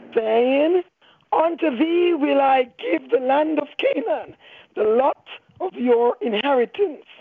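Her pitch sits high. The woman talks at a very slow pace. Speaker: minister. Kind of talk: reading aloud scripture. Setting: phone call.

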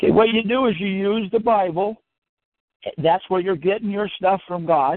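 This man's voice sits high in pitch, and he talks at a moderate pace. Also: ordinary pitch variation. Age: 70s. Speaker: caller. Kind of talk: group conference call discussion. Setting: phone call.

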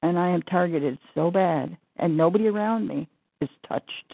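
Her intonation lively, a woman speaks at a fairly slow pace and a fairly low pitch. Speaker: caller. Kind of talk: group conference call. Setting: phone call.

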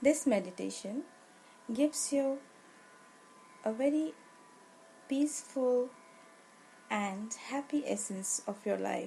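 A woman with an Indian accent uses a soothing, calm tone, lively intonation and fairly high pitch, speaking at a very slow pace with long, frequent pauses. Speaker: yoga teacher. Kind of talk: guided meditation. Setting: live webinar. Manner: slow, soothing, calm.

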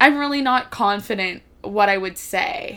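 Speaking with an American accent, a woman uses a normal speaking voice of medium pitch and ordinary pitch variation. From US East Coast. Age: 20s. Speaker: podcast guest. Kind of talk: casual chat.

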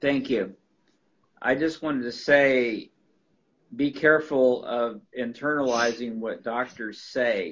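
Very slowly and with long, frequent pauses, a man talks at medium pitch with fairly even intonation.

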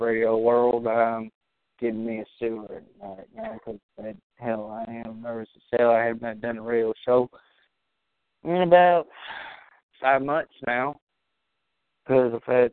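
A man at a fairly slow pace, with big swings in loudness and long, frequent pauses. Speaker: amateur internet radio host talking video games. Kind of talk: casual solo talk show. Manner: rambling; halting.

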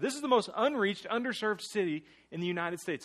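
With a high pitch and very wide pitch swings, a man in an American accent talks at a fairly quick pace. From US South, small-town central Florida. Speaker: guest preacher. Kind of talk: sermon. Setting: church.

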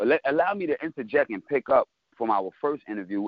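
A man talks at a fairly quick pace. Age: 30s. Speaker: battle rapper. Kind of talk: casual interview.

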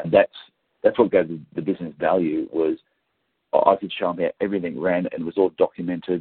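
A man with an Australian accent talks at a fairly quick pace, with big swings in loudness. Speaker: podiatrist and business coach. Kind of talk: interview.

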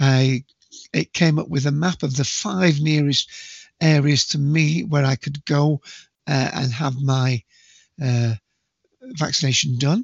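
The speech is slow, with long, frequent pauses, vocal fry, a slightly husky edge and ordinary pitch variation. The sound is dry and close, with no echo. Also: man, fairly high pitch for a man.

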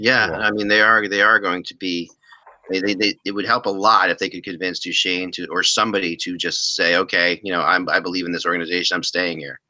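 In a plain, everyday voice, a man speaks fairly quickly at a fairly low pitch with fairly even intonation. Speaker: podcast host. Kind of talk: casual chat.

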